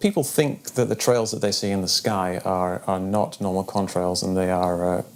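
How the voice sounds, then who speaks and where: Against a silent background in a very clean recording, a man with a very deep, low pitch talks at a moderate pace with fairly even intonation and hardly any pauses. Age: 40s. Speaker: debunker, retired video game developer. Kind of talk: documentary interview. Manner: halting, many fillers.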